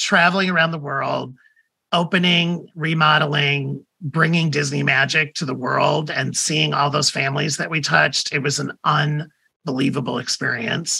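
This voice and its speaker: With vocal fry and a bright, sharp tone, a man in an American accent speaks at a moderate pace and fairly high pitch. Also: fairly even intonation. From US Midwest, Toledo, Ohio. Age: 50s. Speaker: media executive and author. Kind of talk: interview.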